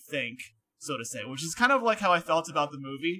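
In an American accent, the voice has a bright, sharp tone at a moderate pace. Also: man. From Connecticut, US. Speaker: podcast guest. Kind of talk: casual chat.

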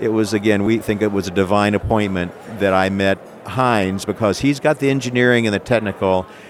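Over noticeable background noise, a man with an American accent speaks at a fairly quick pace in a fairly low voice with ordinary pitch variation. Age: 60s. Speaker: entrepreneur and inventor. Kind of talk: interview, product pitch. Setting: trade show floor. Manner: enthusiastic, animated.

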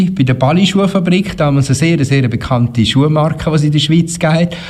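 A man's fairly quick speech competes with noticeable background noise. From Switzerland, Canton Uri. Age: 50s. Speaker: schlager singer and radio presenter. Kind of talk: interview.

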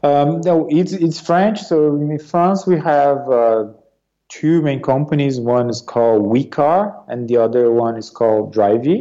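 Speaking at a fairly slow pace, a man with a Portuguese accent has a fairly high pitch. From Brazil, Sao Paulo region. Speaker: business executive. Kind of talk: interview.

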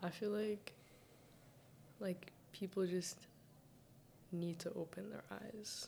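Speaking very slowly, a woman leaves long, frequent pauses, her intonation fairly even and her pitch medium. Her tone is dark and mellow, with vocal fry. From Saudi Arabia, Sudanese family. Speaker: university student. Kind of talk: casual chat.

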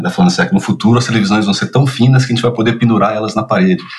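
Pitched fairly low, a man speaks with very wide pitch swings. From Brazil, São Paulo; childhood also in Curitiba, Rio, Minas Gerais. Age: 50s. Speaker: children's media producer and screenwriter. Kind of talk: casual interview. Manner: hesitant, many repetitions and fillers.

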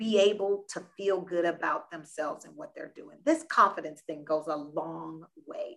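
Fairly slow but energetic, a woman with an American accent speaks at medium pitch with lively intonation and big swings in loudness. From US South, South Florida. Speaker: nonprofit founder. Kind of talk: interview.

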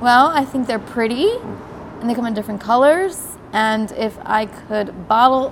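A woman with a South Jersey accent talks at a fairly slow pace. Noticeable background noise is present. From South Jersey, US. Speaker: guest. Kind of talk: casual chat.

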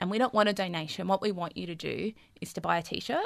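Speaking at a very fast pace with an Australian accent, a woman uses a medium pitch and ordinary pitch variation. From Melbourne, Australia (Fitzroy and Collingwood). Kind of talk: podcast interview.

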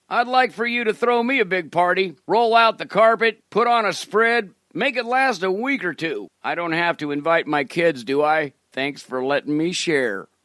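Over a quiet background, a man talks at a moderate pace and a high pitch, his voice making very wide pitch swings. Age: 70s. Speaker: comedic prayer podcaster. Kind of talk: comedic monologue prayer.

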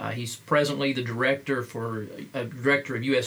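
A man at medium pitch, fairly quick and monotone, with flat intonation over noticeable background noise. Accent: American. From Appalachia, US (Kentucky roots). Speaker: podcast host, pastor and missiologist. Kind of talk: interview. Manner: halting, many fillers.

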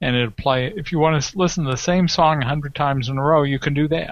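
A man talks in an unremarkable speaking voice. His pitch variation is ordinary. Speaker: tech show guest. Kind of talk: casual banter. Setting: video call.

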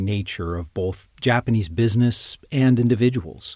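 This man has an unremarkable speaking voice, fairly low in pitch, with ordinary pitch variation. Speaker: podcast host. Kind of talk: interview, podcast host.

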